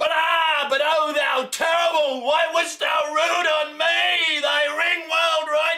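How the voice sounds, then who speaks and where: A man's raised, projected voice at an extremely high pitch and a very slow pace. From Australia. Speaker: poetry reciter. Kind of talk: poetry reading. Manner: loud, forceful. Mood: anguished, intense. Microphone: camera far.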